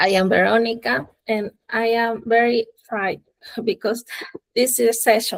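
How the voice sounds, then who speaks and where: A woman speaks with a Spanish accent at a fairly high pitch. The sound is dry and close, with no echo. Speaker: club officer. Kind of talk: welcome address. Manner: halting.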